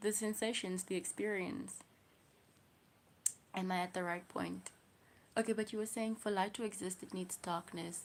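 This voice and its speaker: With a South African accent, a woman talks in a fairly even intonation, leaving long, frequent pauses. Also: medium pitch for a woman, moderate pace. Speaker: livestreamer. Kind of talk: casual livestream chat.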